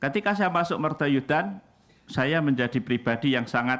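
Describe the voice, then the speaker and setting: The pitch moves in an ordinary way. It belongs to a man talking. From Indonesia, Central Java. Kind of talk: sermon.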